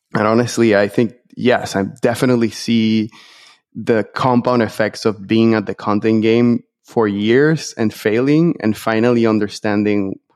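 A man with a Spanish accent speaks at a fairly slow pace. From Venezuela. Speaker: entrepreneur. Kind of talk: interview.

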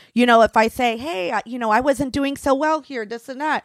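A woman with an ordinary speaking voice, fairly high pitch and ordinary pitch variation, in a dry, close sound with no echo and a very clean, silent background. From Tampa, Florida. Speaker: former stripper and sex worker. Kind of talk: casual interview.

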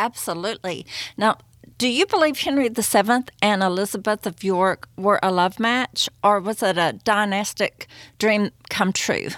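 On a very clean recording with a silent background and a dry, close sound with no echo, a woman with a medium pitch speaks at a fairly slow pace in an enthusiastic tone. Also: ordinary pitch variation. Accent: Southern US. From US Southeast. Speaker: podcast host. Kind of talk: interview.

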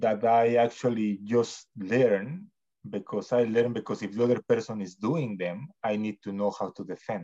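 A man speaks at a fairly slow pace against a quiet background. His voice sits at a medium pitch with a dark, mellow tone. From Mexico. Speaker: jiu-jitsu practitioner. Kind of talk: casual interview chat.

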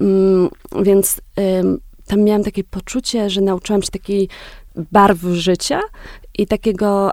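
Her dark, mellow tone at medium pitch stays monotone and flat as the woman speaks at a fairly slow pace. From southern Poland, Wieliczka near Kraków. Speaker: journalist and author. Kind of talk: interview.

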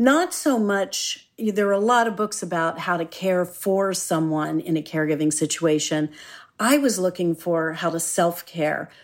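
A woman in an unremarkable speaking voice talks at a moderate pace and fairly low pitch with ordinary pitch variation, on a very clean recording with a silent background. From Philadelphia, US. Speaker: executive coach and author. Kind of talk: interview.

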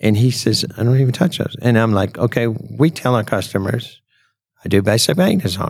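A man with a plain, everyday voice and a medium pitch talks at a fairly quick pace with lively intonation. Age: 60s. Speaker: auto repair shop owner. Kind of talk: casual chat. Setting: recorded at a trade show.

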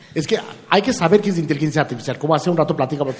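The man's fairly high voice comes through noticeable background noise. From India. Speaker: artificial intelligence expert. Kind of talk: interview. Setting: live forum event with audience. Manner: halting, repeats words.

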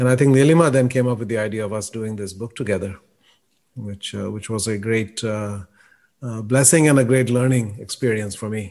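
A man speaks at a moderate pace with ordinary pitch variation. He has an unremarkable speaking voice, heard in a very clean recording with a silent background. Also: medium pitch for a man. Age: 60s. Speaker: podcast co-host and author. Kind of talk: interview.

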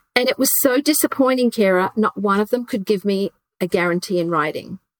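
A woman talks at a fairly quick pace with a medium pitch. The sound is dry and close, with no echo. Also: ordinary pitch variation.

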